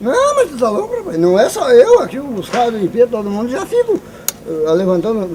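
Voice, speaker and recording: The voice moves through very wide pitch swings against noticeable background noise. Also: man. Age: 60s. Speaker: local resident. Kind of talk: interview.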